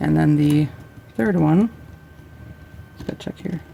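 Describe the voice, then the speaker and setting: Over noticeable background noise, a woman with a very deep, low pitch talks at a very slow pace with lively intonation. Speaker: craft tutorial creator. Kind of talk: tutorial. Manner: casual, with fillers.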